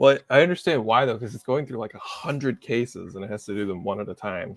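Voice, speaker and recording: The audio is dry and close, with no echo. A man talks with ordinary pitch variation. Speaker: software engineer. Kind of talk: technical discussion on a livestream. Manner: fast.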